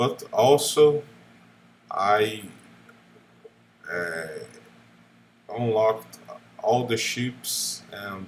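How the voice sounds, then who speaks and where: With a non-native accent, a man talks using ordinary pitch variation. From Brazil. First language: Portuguese. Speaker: gaming YouTuber. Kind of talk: unscripted monologue. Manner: halting, many fillers.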